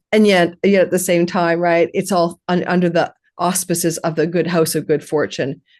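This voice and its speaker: A woman with a normal speaking voice talks at a moderate pace, her pitch fairly low. Her intonation is fairly even, and the background is quiet. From Canada. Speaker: astrologer. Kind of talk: interview.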